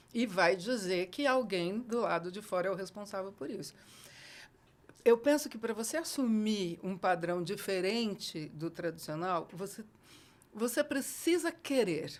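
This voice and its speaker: Her pace is fairly slow. The woman's volume rises and falls in big swings. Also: medium pitch for a woman, lively intonation. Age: 60s. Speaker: educator. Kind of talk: casual chat. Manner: animated.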